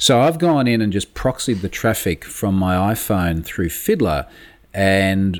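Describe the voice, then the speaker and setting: A man speaks in an Australian accent at a fairly low pitch. His intonation is lively. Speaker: security expert. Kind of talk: interview. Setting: remote call.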